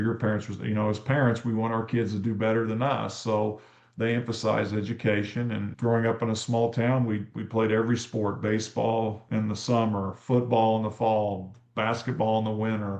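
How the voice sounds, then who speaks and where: A man talks in a Midwestern US accent at a fairly low pitch, with hardly any pauses. His intonation stays monotone and flat. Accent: US Midwest. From Kansas. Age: 60s. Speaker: teacher and coach. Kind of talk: interview.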